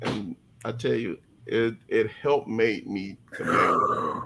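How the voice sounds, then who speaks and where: There is noticeable background noise behind a man speaking. His tone is animated and his pace moderate. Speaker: podcast guest sharing life story. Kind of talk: testimony. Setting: live-streamed podcast. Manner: halting, with repeated false starts; emotional, animated.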